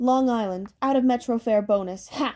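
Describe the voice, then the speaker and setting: In a put-on character voice, a woman mumbles at a moderate pace, her tone shrill and her pitch fairly high. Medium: read story. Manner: shrill, quarrelsome.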